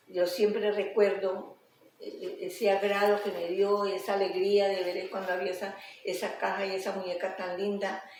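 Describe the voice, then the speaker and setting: A woman speaks at a medium pitch and a moderate pace, her intonation monotone and flat. Noticeable background noise and audible room echo fill the recording. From Colombia, coffee region (Quindío). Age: 80s+. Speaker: interviewee, elderly woman. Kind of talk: interview, life story. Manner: halting.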